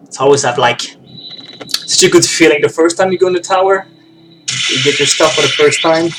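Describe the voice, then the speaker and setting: A man speaks with music in the background. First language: French. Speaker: video game streamer. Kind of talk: gameplay commentary. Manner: casual, halting. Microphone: very bad microphone.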